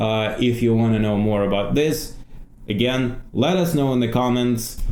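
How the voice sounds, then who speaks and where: This man speaks with a Russian accent. His pitch varies in an ordinary way. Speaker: former political journalist. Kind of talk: casual talk to camera.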